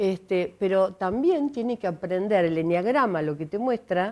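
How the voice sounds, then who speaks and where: On a very clean recording with a silent background, a plain, everyday voice speaks at a fairly slow pace with ordinary pitch variation. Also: woman. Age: 60s. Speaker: enneagram coach and speaker. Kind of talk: TV interview.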